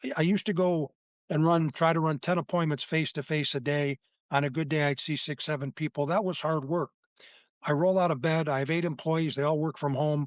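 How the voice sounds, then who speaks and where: In an ordinary speaking voice, a man talks at a fairly quick pace with a fairly high pitch and fairly even intonation. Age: 60s. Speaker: insurance agent. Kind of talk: interview.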